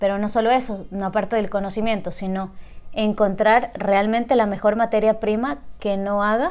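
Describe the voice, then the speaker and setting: A woman with a plain, everyday voice speaks at a moderate pace, with a medium pitch and fairly even intonation. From Ecuador, Loja. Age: 30s. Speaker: coffee entrepreneur. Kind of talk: interview.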